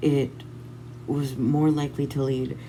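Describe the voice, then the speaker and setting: Someone speaks fairly slowly in a dark, mellow tone with monotone, flat intonation and audible room echo. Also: woman. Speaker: mental health vlogger. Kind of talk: personal vlog monologue. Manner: halting.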